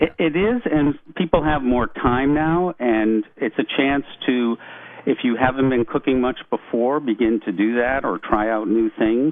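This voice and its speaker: A man speaks at a fairly slow pace. His medium-pitched voice shows ordinary pitch variation. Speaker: psychiatrist. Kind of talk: radio interview. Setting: phone call. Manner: calm.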